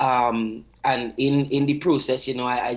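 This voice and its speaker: In a Trinidadian accent, a man speaks at medium pitch with monotone, flat intonation. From Trinidad and Tobago. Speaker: singer. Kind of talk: TV interview. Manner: hesitant, many filler words.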